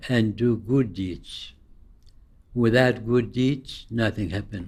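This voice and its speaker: At a very slow pace, a man talks in a somewhat breathy voice. His intonation stays fairly even. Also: medium pitch for a man. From Iraq. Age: 80s+. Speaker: Sufi teacher. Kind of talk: interview answer.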